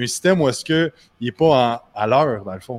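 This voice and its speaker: Speaking in a Quebec accent, a man moves at a fairly quick pace. His intonation is lively. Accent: Québécois French. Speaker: personal trainer, business owner. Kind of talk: casual interview. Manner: halting.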